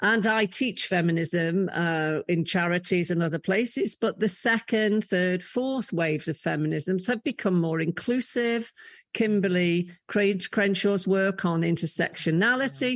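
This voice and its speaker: A woman with an English accent speaks at a medium pitch and a fairly slow pace, with hardly any pauses. Her loudness stays very even, her pitch varies in an ordinary way, and the background is quiet. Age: 60s. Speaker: leadership coach and former college chief executive. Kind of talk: interview conversation.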